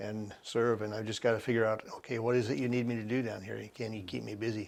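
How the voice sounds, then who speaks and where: A man at a very fast pace, with fairly even intonation. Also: fairly low pitch for a man. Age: 70s. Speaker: volunteer video producer for a ministry. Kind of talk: interview. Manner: halting.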